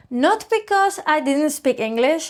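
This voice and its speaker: Words come at a fairly slow pace, spoken with a Spanish accent. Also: woman, very clean recording, silent background. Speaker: English teacher. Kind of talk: scripted storytelling listening exercise.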